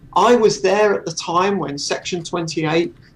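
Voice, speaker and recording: A man's speech moves at a moderate pace, his intonation fairly even, with noticeable noise in the background. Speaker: author and secular campaigner. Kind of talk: casual chat.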